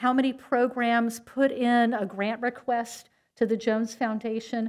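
Against a quiet background, a woman speaks at a very slow pace in a monotone, flat intonation. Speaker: event host announcing awards. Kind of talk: award ceremony speech. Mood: warm, appreciative. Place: hall. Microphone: podium.

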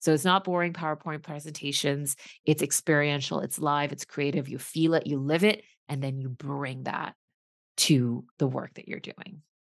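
The pace is moderate and the intonation fairly even. The background is quiet. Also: woman, very deep, low pitch for a woman. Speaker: leadership coach and former executive. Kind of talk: casual interview. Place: home room. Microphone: video call.

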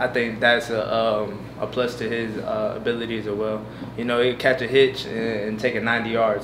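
Noticeable background noise sits behind a man speaking at a moderate pace. His intonation is flat and monotone. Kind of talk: interview answer. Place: hall. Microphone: podium.

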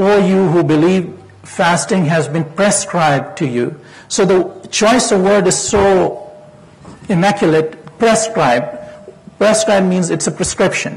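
The speech has ordinary pitch variation and a fairly slow pace. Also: man. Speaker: physician. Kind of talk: lecture. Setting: stage with audience. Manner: formal. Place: hall.

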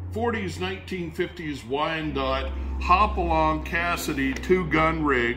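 A man talks in a very deep, low voice with very wide pitch swings. Light background noise is present. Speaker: auctioneer. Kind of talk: product showcase video. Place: shop.

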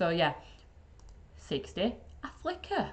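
A woman with a Yorkshire accent speaks very slowly in an upbeat tone. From Yorkshire, England. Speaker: IT support trainer. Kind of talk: casual tech tutorial to camera. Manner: upbeat, chatty. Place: office. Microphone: webcam.

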